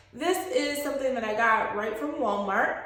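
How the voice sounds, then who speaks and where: A woman's voice carries audible room echo over noticeable background noise. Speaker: beauty vlogger. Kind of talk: hair tutorial. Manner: casual, filler-heavy.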